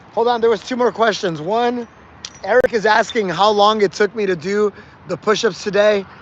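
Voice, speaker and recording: The voice is loud and moves at a moderate pace, with ordinary pitch variation and noticeable background noise. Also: man. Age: 40s. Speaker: fitness livestreamer. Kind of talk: casual chat to livestream viewers during workout. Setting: livestream. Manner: projecting loudly; repetitive, filler-heavy.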